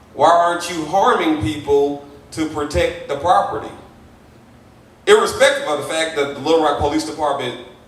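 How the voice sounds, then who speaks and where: A man talks in a fairly high voice. Audible room echo and noticeable background noise come through. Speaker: panelist. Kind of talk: panel discussion. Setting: church event with audience, streamed online. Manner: loud.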